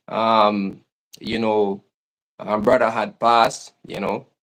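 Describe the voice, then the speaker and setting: Fairly low in pitch, the man's voice keeps a fairly even intonation. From Jamaica. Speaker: YouTuber, family lifestyle channel. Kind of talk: interview, livestream. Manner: halting, many fillers.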